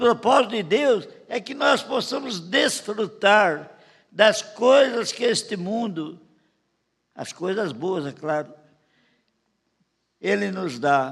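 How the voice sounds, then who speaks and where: A man's high voice at a very slow pace, with very wide pitch swings, big swings in loudness, and long, frequent pauses. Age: 80s+. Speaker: pastor. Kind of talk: sermon. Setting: church.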